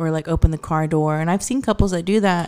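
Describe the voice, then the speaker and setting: Mellow and dark, the tone fills the clip. The recording is spotless, and the background is silent. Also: woman. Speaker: podcast guest. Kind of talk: casual chat.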